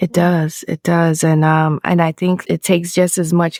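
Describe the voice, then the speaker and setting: In a dry, close sound with no echo, a woman speaks in a calm tone. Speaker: founder of a women's journaling community. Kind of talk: casual interview. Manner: calm, soft.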